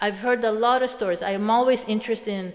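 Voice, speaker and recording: A woman's voice with noticeable background noise. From Sweden. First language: Swedish. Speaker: motivational speaker. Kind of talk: reflective monologue. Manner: halting.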